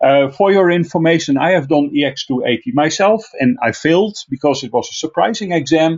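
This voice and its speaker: With a Dutch accent, a man talks at a fairly quick pace with hardly any pauses, his fairly high pitch carrying lively intonation. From Netherlands, Friesland. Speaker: IT trainer. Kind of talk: online technical class. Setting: online video class. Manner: frequent filler uh.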